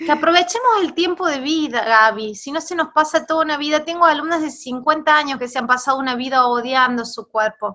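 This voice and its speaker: Speaking with a Rioplatense accent, a woman uses a raised, projected, high-pitched voice with ordinary pitch variation and hardly any pauses. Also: fairly quick pace. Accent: Argentine Rioplatense Spanish. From Argentina. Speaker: body image coach, former gym owner. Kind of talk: interview conversation. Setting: video call.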